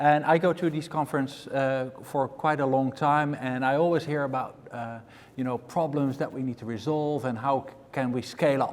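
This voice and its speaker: A man with a Dutch accent, his pitch fairly high, his intonation fairly even, with hardly any pauses. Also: moderate pace. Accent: Dutch accent, still very much there. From Netherlands. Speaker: panel moderator, infrastructure investor. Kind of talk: conference panel moderation.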